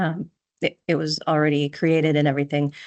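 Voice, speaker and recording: A woman with a Minnesotan accent and a very deep, low voice, over a quiet background. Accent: Minnesota. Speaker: software consultant. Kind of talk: tutorial. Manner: casual, hesitant with fillers.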